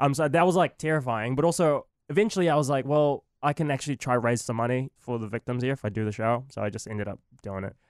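Speaking very fast with a New Zealand accent, a man with a medium pitch and ordinary pitch variation comes through a dry, close sound with no echo on a very clean recording with a silent background. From Philippines, then New Zealand. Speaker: comedian. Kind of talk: casual chat. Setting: studio.

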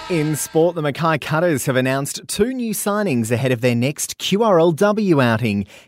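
Speaking with an Australian accent, a man uses fairly high pitch and very wide pitch swings. He keeps a moderate pace with hardly any pauses. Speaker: radio news presenter. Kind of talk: news reading. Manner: crisp, brisk, even newsreader delivery.

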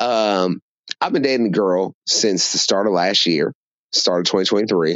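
A man with a normal speaking voice talks at a moderate pace, his pitch fairly low, with ordinary pitch variation and very even loudness. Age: 30s. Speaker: caller. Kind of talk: voicemail question.

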